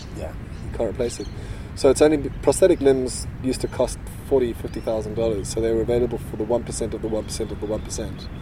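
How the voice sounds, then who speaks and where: With big swings in loudness and ordinary pitch variation, a man talks at a very fast pace amid noticeable background noise and audible room echo. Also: medium pitch for a man. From South Africa. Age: 30s. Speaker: futurist newsletter writer. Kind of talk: casual interview. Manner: halting.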